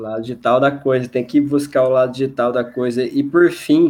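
A man talks at medium pitch and a moderate pace. He has an ordinary speaking voice. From Mato Grosso do Sul, Brazil. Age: 20s. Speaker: lawyer. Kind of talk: casual chat.

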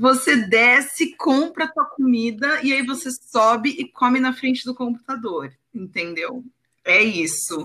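Projecting a raised voice, a woman speaks slowly-ish at a fairly slow pace, high-pitched with lively intonation and a bright, sharp tone. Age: 30s. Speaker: copywriter. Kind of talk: casual chat.

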